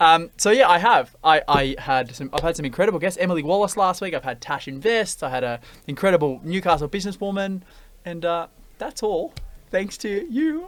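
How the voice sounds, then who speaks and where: Speaking fairly quickly with an Australian accent, a man uses a high pitch and lively intonation. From Australia, western Sydney. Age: 20s. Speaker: podcast host and buyers' agent. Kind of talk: casual interview chat.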